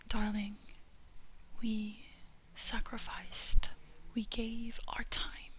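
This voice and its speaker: Soft-spoken whispering at a very slow pace amid noticeable background noise. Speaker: ASMR creator. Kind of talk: ASMR lyrics reading for sleep. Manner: soft-spoken, whispered.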